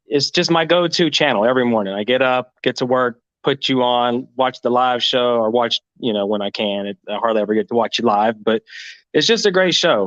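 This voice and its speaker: A man talks at a fairly quick pace and medium pitch. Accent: American. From Florida. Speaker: caller. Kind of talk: casual chat.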